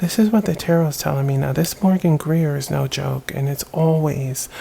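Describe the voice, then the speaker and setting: There is noticeable background noise. The pace is moderate. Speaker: tarot reader. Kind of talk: psychic reading to camera. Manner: soft-spoken; halting.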